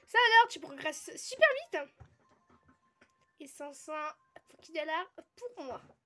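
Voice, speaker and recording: A woman with an extremely high pitch and a bright, sharp tone uses a raised, projected voice at a fairly slow pace, with very wide pitch swings, big swings in loudness and long, frequent pauses. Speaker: gaming youtuber. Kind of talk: let's play commentary.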